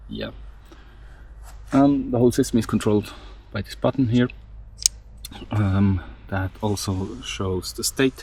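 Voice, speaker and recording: Speaking at a fairly slow pace with a non-native accent, a man leaves long, frequent pauses and shows big swings in loudness. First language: not English. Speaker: DIY electronics hobbyist, mountain biker. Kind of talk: tutorial. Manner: hesitant, many fillers.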